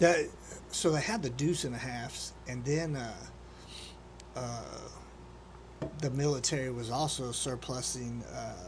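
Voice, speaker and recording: This man talks at a fairly slow pace, with long pauses that come often. The room echo is audible. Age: 40s. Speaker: podcast host. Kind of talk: casual interview.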